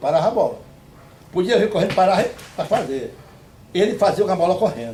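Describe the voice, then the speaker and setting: Lively intonation and a very fast pace mark this high-pitched man's speech, with audible room echo around him. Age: 70s. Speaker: retired futsal player. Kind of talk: interview. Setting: on a rural farm property. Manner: halting.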